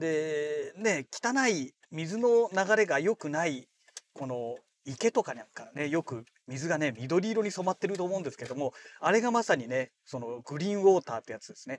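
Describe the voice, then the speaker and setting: At a moderate pace and in a relaxed tone, the voice makes very wide pitch swings and big jumps in loudness, in a dry, close sound with no echo. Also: man, fairly high pitch for a man. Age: 40s. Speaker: podcaster. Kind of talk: casual monologue. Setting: in a car. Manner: relaxed, many fillers.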